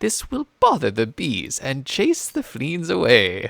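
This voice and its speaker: Putting on a character voice, a man speaks at a fairly high pitch and fairly slow pace with very wide pitch swings, in a dry, close sound with no echo. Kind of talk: clear, instructional narration.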